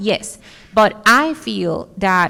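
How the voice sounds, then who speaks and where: A woman speaks at a medium pitch in a bright, sharp tone. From Dominican Republic. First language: Spanish. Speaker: architect. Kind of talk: conference talk Q&A. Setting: stage with audience.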